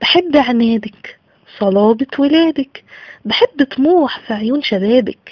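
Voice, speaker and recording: A woman's high voice with an Egyptian accent, lively intonation and a very slow pace. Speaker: poet. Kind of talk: poetry reading.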